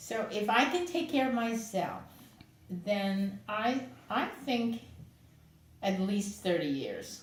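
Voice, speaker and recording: Amid noticeable background noise and audible room echo, a fairly high-pitched woman speaks very slowly with lively intonation and long, frequent pauses. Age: 80s+. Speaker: client. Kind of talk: testimony.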